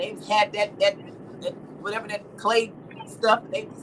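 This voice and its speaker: Noticeable background noise runs under a woman's voice. She sounds animated, fairly quick and fairly high-pitched. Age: 60s. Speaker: livestream host. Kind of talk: casual chat.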